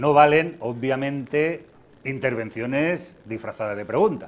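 A man speaks with ordinary pitch variation. Light background noise is present. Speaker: TV host and moderator; TV host, moderator. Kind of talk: moderating a public interview, reading audience questions. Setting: live event with audience. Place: hall. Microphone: lapel.

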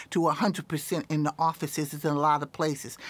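Speaking with a North Carolina accent, a woman keeps a moderate pace. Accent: US Southern (North Carolina). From Raleigh, North Carolina. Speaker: politician; candidate. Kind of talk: interview. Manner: halting, many fillers.

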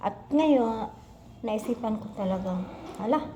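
A woman talks at a moderate pace with lively intonation, with audible room echo and noticeable background noise. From Philippines, Misamis Occidental (Mindanao). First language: Cebuano (Bisaya) (speaking Tagalog). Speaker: vlogger, health center worker, former teacher. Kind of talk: casual vlog self-introduction. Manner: halting.

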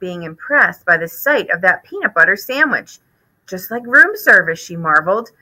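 Behind the voice, all is quiet. It is an unforced reading voice.

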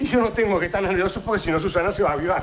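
A man is speaking, and noticeable background noise can be heard behind him. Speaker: sitcom actor. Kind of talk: comic scripted acting. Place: studio.

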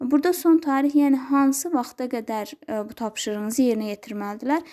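Dark and mellow in tone, a woman's high-pitched voice shows ordinary pitch variation. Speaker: schoolteacher. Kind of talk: tutorial. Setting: screen recording. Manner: halting.

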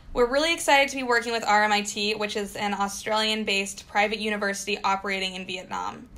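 A woman's bright, sharp voice at a fairly high pitch, with a General American accent, a fairly quick pace and ordinary pitch variation. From US, Colorado. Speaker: study abroad program staff. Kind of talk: webinar presentation.

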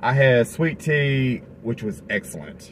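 Light background noise sits behind a man's voice. His pitch varies in an ordinary way. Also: dry sound with no echo. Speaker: family food vlogger. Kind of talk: casual vlog chat. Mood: cheerful, jokey. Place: car. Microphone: phone near.

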